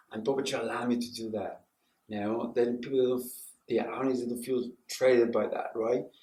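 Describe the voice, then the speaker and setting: A man with a medium pitch talks at a fairly quick pace in flat, monotone intonation. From Mexico. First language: Spanish. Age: 60s. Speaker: puppeteer and professor. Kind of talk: interview. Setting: TV news interview.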